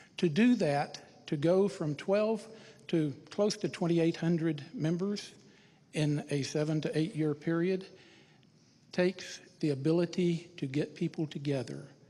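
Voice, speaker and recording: A fairly slow pace in a Texan accent, broken by long, frequent pauses. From Texas, Irving. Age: 60s. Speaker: city council candidate. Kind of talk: candidate forum speech. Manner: formal.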